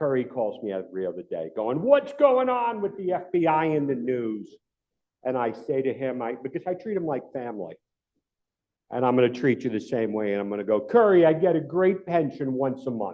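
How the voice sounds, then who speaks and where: At a medium pitch, a man with a New York accent speaks fairly quickly in an animated tone, his pitch swinging very widely. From New York City. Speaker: retired FBI agent, cyber security speaker. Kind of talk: club talk presentation. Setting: club meeting room with audience.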